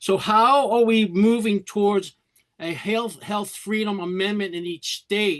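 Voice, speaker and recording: Talking at a fairly slow pace, a man with a New York accent holds a high pitch and fairly even intonation. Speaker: meeting participant. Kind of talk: audience question. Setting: video call.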